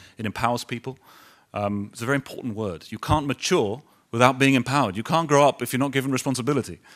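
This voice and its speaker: In a London accent, the speaker goes at a very fast pace against a quiet background. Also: man. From London, England. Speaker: business executive; guest. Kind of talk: speech to audience. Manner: halting. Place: hall. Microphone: podium.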